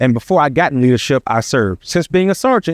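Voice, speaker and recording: A man speaks in a normal speaking voice, fairly high in pitch, at a fairly quick pace with lively intonation. The sound is dry and close with no echo, over a quiet background. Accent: American. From Virginia (Chesapeake). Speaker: sheriff candidate. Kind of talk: campaign speech. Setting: public forum with audience.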